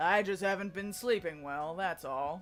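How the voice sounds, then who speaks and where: With faint music in the background, a man does a put-on character voice at a high pitch and a moderate pace. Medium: game stream. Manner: tired, understated.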